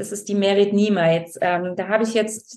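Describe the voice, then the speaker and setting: In a medium-pitched voice, a woman speaks fairly slowly with fairly even intonation. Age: 40s. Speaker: novelist. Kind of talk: interview. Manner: hesitant with fillers.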